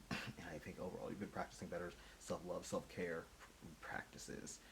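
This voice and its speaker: Very deep and low in pitch, a man speaks at a fairly quick pace. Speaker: tarot reader. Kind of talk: intuitive tarot reading monologue. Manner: casual, conversational.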